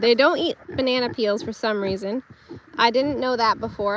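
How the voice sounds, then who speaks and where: The speech shows ordinary pitch variation, with noticeable background noise. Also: woman. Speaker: homesteader livestreamer. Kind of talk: casual live stream walkthrough. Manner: stumbles over words, stutters.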